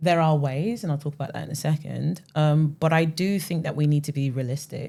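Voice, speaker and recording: A woman's very deep, low pitch with a London accent, dark, mellow tone, somewhat breathy quality and fairly even intonation. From West London, England. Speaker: music marketing founder, ex-platform strategist. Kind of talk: podcast interview.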